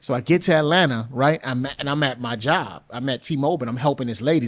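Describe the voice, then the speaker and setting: A very fast-talking man with a New Orleans accent and a medium pitch. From US South, New Orleans. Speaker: music producer and songwriter. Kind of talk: podcast interview, casual chat.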